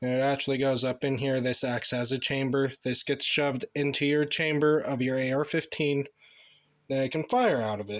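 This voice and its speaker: Fairly even intonation at a moderate pace, from a man at a medium pitch. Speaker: gun reviewer, channel owner. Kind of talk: casual product review and demonstration. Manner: casual, rambling. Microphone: no microphone, built-in device mic.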